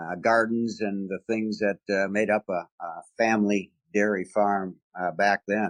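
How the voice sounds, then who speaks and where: A man with an Upper Midwest accent speaks in a fairly low, flat monotone at a fairly slow pace. The sound is dry and close, with no echo. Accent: Upper Midwest American. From rural Wisconsin, US Midwest. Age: 70s. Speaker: retired business executive, Vietnam veteran. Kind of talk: interview. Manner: hesitant, many fillers.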